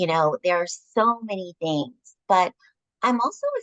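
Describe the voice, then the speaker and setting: A woman with an American accent and an unremarkable speaking voice talks at a fairly slow pace with lively intonation. The sound is dry and close, with no echo. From Upstate New York. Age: 60s. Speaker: nurse. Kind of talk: interview.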